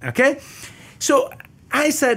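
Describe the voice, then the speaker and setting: A man with an Italian accent speaks with very wide pitch swings on a very clean recording with a silent background. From Italy. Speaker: economics professor. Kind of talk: interview.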